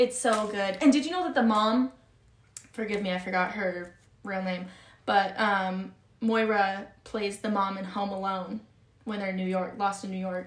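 Audible room echo surrounds a woman at a medium pitch. She keeps a moderate pace and fairly even intonation. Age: 20s. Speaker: podcast host. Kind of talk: casual chat.

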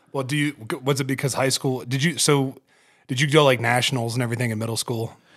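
Very fast speech from a man at medium pitch with fairly even intonation, recorded very cleanly against a silent background. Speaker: podcast host and hunter. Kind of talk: casual chat. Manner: profane, casual, emphatic.

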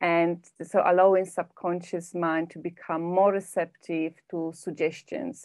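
In a Polish accent, a woman with a fairly low pitch speaks fairly slowly with hardly any pauses, fairly even intonation and big swings in loudness. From Poland. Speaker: personal development coach and hypnotherapist. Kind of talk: podcast interview.

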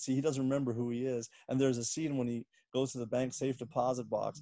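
An ordinary speaking voice from a man, medium in pitch and at a fairly quick pace. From Washington D.C. area, US. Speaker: comedian. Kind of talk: casual interview.

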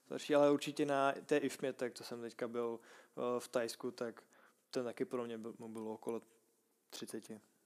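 Speaking at a medium pitch with a Czech accent, the man keeps a monotone, flat intonation. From Czech Republic, Prague. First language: Czech (speaking Slovak). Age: 20s. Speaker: Thai boxing fighter. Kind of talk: casual interview.

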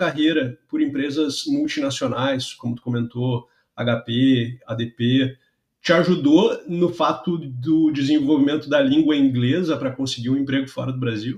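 A man's voice comes through somewhat breathy, at a moderate pace. His intonation is lively. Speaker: podcast host, software QA engineer. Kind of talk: casual interview.

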